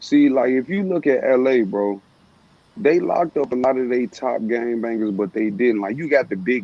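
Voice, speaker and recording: A man speaks in a Southern US accent. His medium pitch shows ordinary variation. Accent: southern drawl. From Chicago. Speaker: former gang member. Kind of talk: casual chat.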